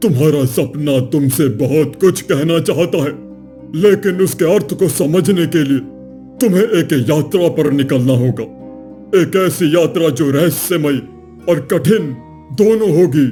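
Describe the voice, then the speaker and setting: A man does a cartoonish character voice, pitched fairly high for a man and delivered at a fairly slow pace. Clear music plays in the background. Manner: calm, measured.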